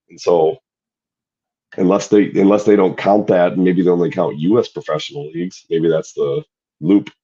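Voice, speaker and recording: Loud and very deep, a man speaks at a moderate pace with a dark, mellow tone, ordinary pitch variation and long, frequent pauses. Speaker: podcast co-host. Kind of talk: casual chat.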